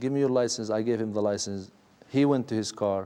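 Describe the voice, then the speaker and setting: This man's tone is dark and mellow. He talks at a fairly quick pace. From Israel. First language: Arabic. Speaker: former detainee. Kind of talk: testimony.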